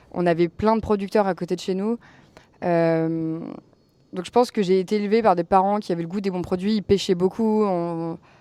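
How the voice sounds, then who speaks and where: Against a quiet background, a woman talks with a dark, mellow tone and fairly even intonation. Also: medium pitch for a woman, moderate pace. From Normandy, France. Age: 20s. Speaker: home-restaurant cook and entrepreneur. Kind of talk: podcast interview. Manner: casual, with frequent fillers (euh).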